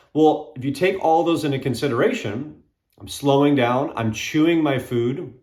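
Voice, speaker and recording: Amid audible room echo, a man with a fairly high, somewhat breathy voice speaks with lively intonation. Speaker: fitness coach. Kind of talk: casual talk to camera. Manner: fast.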